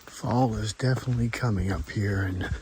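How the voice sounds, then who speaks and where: Whispering at a fairly slow pace, a man is heard with audible room echo and noticeable background noise. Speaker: hiking vlogger. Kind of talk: casual vlog narration. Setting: outdoors on a hiking trail.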